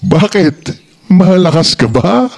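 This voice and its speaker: A man puts on a high-pitched character voice. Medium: read story. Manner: commanding, brusque.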